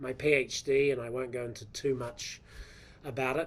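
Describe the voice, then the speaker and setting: A man with a New Zealand accent speaks at medium pitch with fairly even intonation. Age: 50s. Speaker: professor. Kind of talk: lecture. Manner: hesitant, with fillers.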